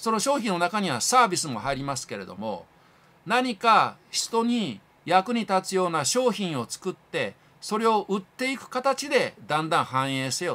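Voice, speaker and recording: Raising and projecting his voice, a high-pitched man with a bright, sharp tone speaks at a moderate pace, with very wide pitch swings and big swings in loudness. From Japan. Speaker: YouTube channel host. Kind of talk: lecture-style monologue. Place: home room. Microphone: phone near.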